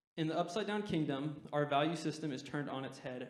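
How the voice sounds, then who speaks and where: Speaking at a fairly quick pace, a man has an American accent. Noticeable background noise and audible room echo surround him. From Utah. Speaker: guest preacher, university student. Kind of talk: sermon. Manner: fast.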